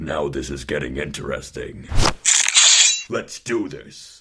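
A man puts on a cartoonish character voice, very deep and low. He sounds raspy and speaks at a fairly slow pace. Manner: gruff.

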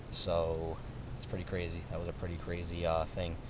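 Noticeable background noise under a man's dry, echo-free voice. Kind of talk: casual vlog chat. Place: garden. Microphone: phone near.

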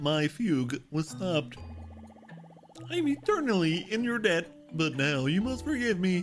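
The speaker uses a put-on character voice at a middle pitch and moderate pace. Music plays clearly in the background. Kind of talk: extremely well-spoken, archaic. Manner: grateful, dramatic.

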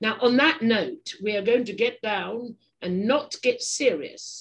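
Someone speaks at a fairly slow pace with an English accent and a somewhat breathy quality. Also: woman. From England. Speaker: podcast host. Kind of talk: casual interview chat. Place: home room. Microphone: webcam.

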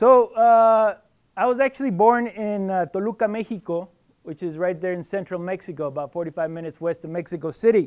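A man's high voice at a fairly quick pace, with ordinary pitch variation, big swings in loudness and a quiet background. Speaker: guest. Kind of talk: lecture. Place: hall.

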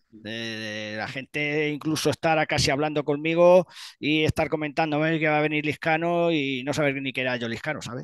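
A man talks at a moderate pace with ordinary pitch variation. The sound is dry with no echo, over a quiet background. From Spain, Castilla-La Mancha (Ciudad Real); Castilla-La Mancha, Spain. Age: 50s. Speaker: retired bodybuilding champion; interviewee. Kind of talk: interview. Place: home room. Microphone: headset.

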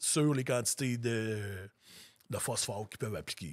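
In a very clean recording with a silent background, the words come rather slowly. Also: man. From Quebec, Lanaudière. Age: 40s. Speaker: grain farmer. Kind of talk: casual interview.

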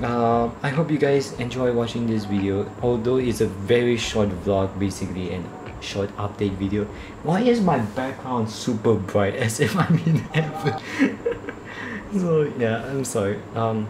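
Ordinary pitch variation carries the voice over noticeable background noise. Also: man, fairly slow pace. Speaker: vlogger. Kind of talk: casual vlog chat. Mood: relaxed, laughing at times. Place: home room. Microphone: phone near.

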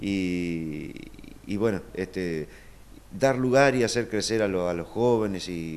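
A man's voice with ordinary pitch variation. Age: 40s. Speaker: folk dance troupe director. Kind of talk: interview. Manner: halting, many fillers. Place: home room. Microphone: video call.

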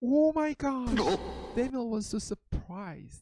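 A woman speaks very slowly in a high-pitched, dark, mellow tone with lively intonation. The sound is dry and close, with no echo. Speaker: pastor. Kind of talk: children's Bible story sermon. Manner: slow, simple English for children.

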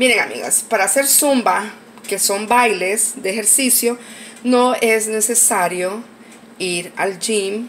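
A woman's medium-pitched, nasal voice with a fairly bright tone moves at a slow pace with ordinary pitch variation.

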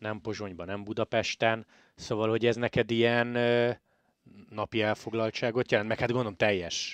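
A man's medium-pitched voice with monotone, flat intonation and a dry, close sound with no echo. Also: moderate pace. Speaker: cycling podcast host. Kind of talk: casual interview.

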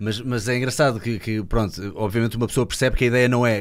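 This voice, in a European Portuguese accent, goes at a very fast pace. The intonation is monotone and flat, and the background is quiet. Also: man. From Portugal. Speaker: podcast host. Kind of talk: podcast interview conversation. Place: studio. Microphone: studio mic.

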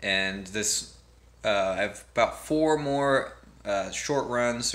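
This man speaks at a very slow pace with fairly even intonation. His tone is bright and sharp. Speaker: amateur runner vlogger. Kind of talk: casual vlog chat. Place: home room. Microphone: phone near.

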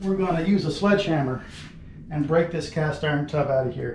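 Audible room echo and light background noise surround a man whose pitch varies in an ordinary way. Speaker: remodeling contractor. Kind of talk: tutorial. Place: bathroom.

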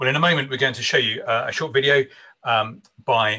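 Against a quiet background, a man speaks in a bright, sharp tone with fairly even intonation. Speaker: minister hosting an online conference. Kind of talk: conference host introduction and prayer. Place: home room. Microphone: video call.

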